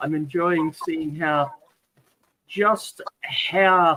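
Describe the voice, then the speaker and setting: A man with a slight New Zealand accent speaks at a very slow pace in a bright, sharp tone and fairly high pitch. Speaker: viewer and channel helper. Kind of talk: casual chat.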